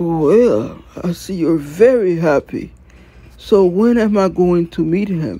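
This cartoonish character voice has a dark, mellow tone with a slightly husky edge. It moves at a slow pace with lively intonation.

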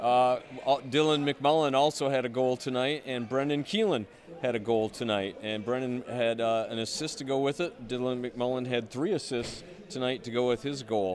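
A man talks at a moderate pace, medium in pitch, with a fairly even intonation.

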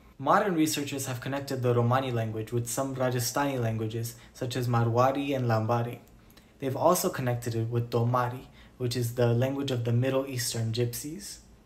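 A man's somewhat breathy voice at a fairly quick pace. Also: fairly even intonation. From Romani community. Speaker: Romani history educator. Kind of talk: educational narration.

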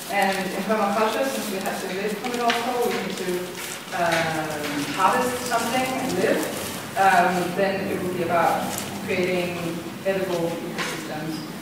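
A woman talks at a fairly slow pace with ordinary pitch variation. Strong room echo and noticeable background noise surround her voice. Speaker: presenter. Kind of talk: lecture. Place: classroom. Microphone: camera far.

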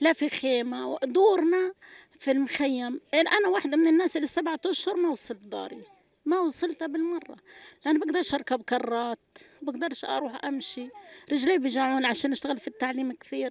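A woman's high-pitched voice at a moderate pace, with ordinary pitch variation and a dry sound with no echo. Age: 60s. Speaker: displaced person, retired UN agency teacher; retired UN agency teacher. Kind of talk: street interview testimony. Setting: outdoors at night in displacement camp. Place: tent. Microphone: handheld.

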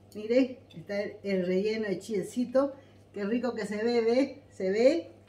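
Over light background noise and audible room echo, a woman speaks with ordinary pitch variation. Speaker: cooking channel host. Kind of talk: casual vlog chat. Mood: cheerful, laughing. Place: home room. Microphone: camera far.

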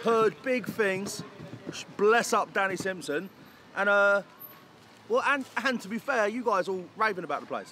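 At a fairly slow pace, a man uses a raised, projected voice with ordinary pitch variation, in a dry sound with no echo over light background noise. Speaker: food reviewer. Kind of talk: casual vlog chat. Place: street.

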